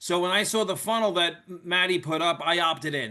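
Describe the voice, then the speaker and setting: In a New York accent, a man speaks at a moderate pace with a bright, sharp tone and ordinary pitch variation against a quiet background. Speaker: network marketer, former police officer and firefighter. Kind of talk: sales pitch. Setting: video call. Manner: casual.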